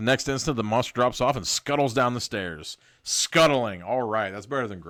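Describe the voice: In a plain reading aloud, the pitch rises and falls as it ordinarily would.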